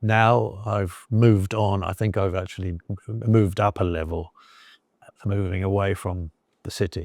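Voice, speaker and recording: On a very clean recording with a silent background, a man with a southern English accent speaks at a moderate pace with long, frequent pauses. His fairly low voice has fairly even intonation and a dry, close sound with no echo. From southern England. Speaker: expat storyteller. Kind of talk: interview. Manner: halting, many fillers and repetitions.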